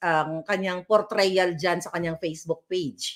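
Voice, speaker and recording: A woman with a fairly low pitch speaks in an animated tone. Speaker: political vlogger. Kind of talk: political commentary rant. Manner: loud.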